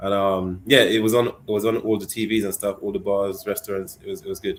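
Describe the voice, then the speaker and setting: Very fast and monotone, a man with a British accent speaks in a fairly low pitch with flat intonation. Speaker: football podcast co-host. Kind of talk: casual chat. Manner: halting, repeats words.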